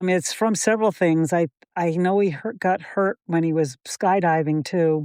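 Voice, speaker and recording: Against a quiet background, a woman with an American accent speaks at a moderate pace in a fairly low pitch, her dark, mellow tone captured with a dry, close sound and no echo. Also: ordinary pitch variation. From Massachusetts, Springfield. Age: 70s. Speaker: firefighter's wife. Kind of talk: casual chat. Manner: animated.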